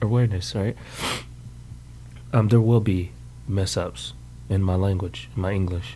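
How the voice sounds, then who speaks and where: A man's fairly low voice with very wide pitch swings. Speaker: podcast host and military veteran. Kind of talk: casual monologue. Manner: fast; rambling, halting with fillers.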